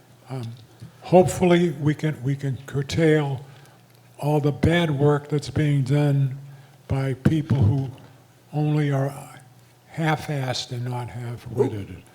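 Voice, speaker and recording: A man's somewhat breathy, dark and mellow voice at a fairly high pitch, very slow pace and fairly even intonation, with long, frequent pauses. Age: 80s+. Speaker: community association delegate. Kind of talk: community meeting remarks. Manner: halting.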